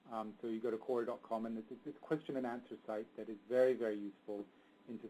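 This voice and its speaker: Speaking at a very fast pace, a man has a dark, mellow tone, a medium pitch and fairly even intonation. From England. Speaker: marketing expert. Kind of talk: webinar presentation. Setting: webinar. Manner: mumbling.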